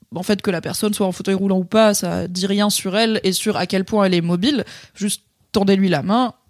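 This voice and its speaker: Recorded dry and close with no echo, a woman of medium pitch speaks at a fairly quick pace. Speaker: podcast co-host. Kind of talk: casual chat. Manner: animated.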